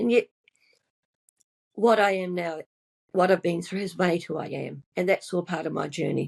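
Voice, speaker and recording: Speaking at a fairly slow pace, a woman uses a fairly low pitch with vocal fry. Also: dry, close sound with no echo. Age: 70s. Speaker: nurse and mindset coach. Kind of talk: interview testimony.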